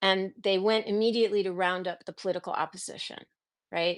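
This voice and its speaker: In a very clean recording with a silent background, a woman speaks at medium pitch with fairly even intonation. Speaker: historian and author on authoritarianism. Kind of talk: casual live conversation. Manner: halting, self-interrupting.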